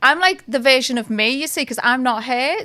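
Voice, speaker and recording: Talking very fast, a woman with a Liverpool accent has a high pitch and a bright, sharp tone. Her intonation is lively. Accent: Liverpool (Scouse). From Liverpool, England. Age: 40s. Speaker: celebrity lookalike. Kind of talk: interview chat.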